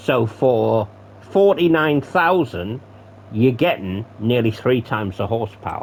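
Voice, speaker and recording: This man has a normal speaking voice at a medium pitch, and his intonation is lively. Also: fairly slow pace. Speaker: gaming commentator. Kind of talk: gameplay commentary. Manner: casual, swearing asides.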